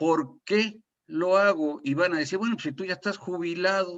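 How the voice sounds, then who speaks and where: The man keeps a moderate pace, and the background stays quiet. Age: 60s. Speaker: retired oil industry safety consultant. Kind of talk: webinar panel talk. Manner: halting, with repetitions.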